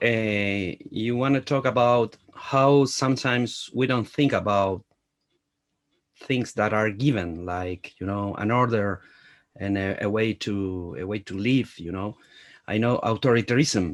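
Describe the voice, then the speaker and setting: On a very clean recording with a silent background, a man with a Spanish accent talks at a fairly slow pace, his medium pitch showing ordinary variation. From Latin America. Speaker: film journalist. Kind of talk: interview. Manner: halting.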